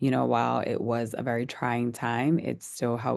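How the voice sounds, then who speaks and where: Speaking with an American accent, a woman keeps a moderate pace. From US South, New Orleans. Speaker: wine company founder. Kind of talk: interview. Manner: halting.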